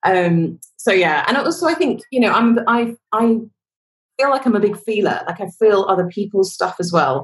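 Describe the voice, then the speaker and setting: A woman talks at a moderate pace with very wide pitch swings. Her voice is somewhat breathy. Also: medium pitch for a woman. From London, England. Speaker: worship leader, singer-songwriter. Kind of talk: casual interview chat.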